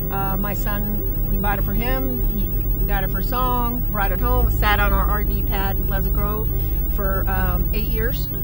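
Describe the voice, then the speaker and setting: The voice is monotone and flat, with very even loudness and a fairly slow pace. Music plays in the background, and there is audible room echo. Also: woman, very deep, low pitch for a woman. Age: 60s. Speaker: off-road Jeep driver. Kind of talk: casual interview.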